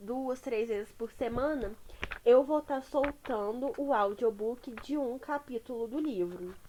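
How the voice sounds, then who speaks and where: A woman's high voice at a very slow pace, with noticeable background noise. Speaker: YouTuber reading audiobooks. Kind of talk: casual chat introducing a book reading. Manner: slurs words together. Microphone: poor-quality microphone.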